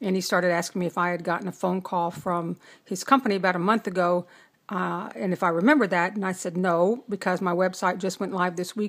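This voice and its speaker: A normal speaking voice from a woman, medium-pitched with ordinary pitch variation, at a fairly quick pace in a very clean recording with a silent background. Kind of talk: casual talk to camera.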